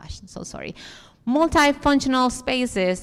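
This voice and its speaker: A woman speaks in a strong Dominican accent. Her pace is moderate. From Dominican Republic. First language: Spanish. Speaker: architect, conference speaker. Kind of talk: conference talk with audience Q&A.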